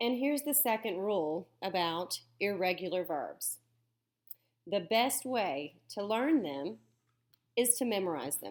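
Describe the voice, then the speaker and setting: With a Southern US accent, a woman speaks at a fairly slow pace with very wide pitch swings. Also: medium pitch for a woman. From US South. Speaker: teacher. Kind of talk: lecture. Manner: animated.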